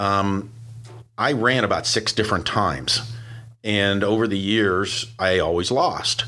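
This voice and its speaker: Speaking with an American accent, a man has a bright, sharp tone and fairly even intonation. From Pittsburgh, US. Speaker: garage door business owner, industry association leader. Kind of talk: podcast interview. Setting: studio.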